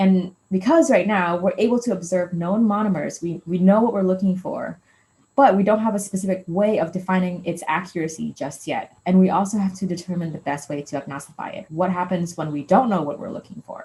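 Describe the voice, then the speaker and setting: Somewhat breathy and dark, mellow in tone, a woman's voice shows big swings in loudness. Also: medium pitch for a woman, ordinary pitch variation, fairly quick pace, hardly any pauses. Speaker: postdoc researcher. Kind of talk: lecture. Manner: fast.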